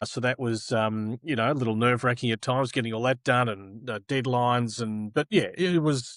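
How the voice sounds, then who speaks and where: A man speaks with an Australian accent at a very fast pace and medium pitch. His intonation is fairly even, and the sound is dry and close with no echo. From Australia, Melbourne. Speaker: tennis broadcaster. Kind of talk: interview.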